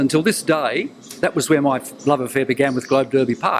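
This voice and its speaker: There is noticeable background noise as a man with a fairly high pitch talks at a fairly quick pace. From New Zealand. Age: 70s. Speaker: retired broadcaster and newsreader. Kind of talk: interview. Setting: TV interview.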